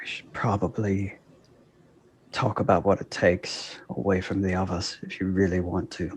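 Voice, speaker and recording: In a breathy whisper, a put-on character voice goes at a moderate pace on a very clean recording with a silent background. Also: man. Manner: whispering, low and breathy.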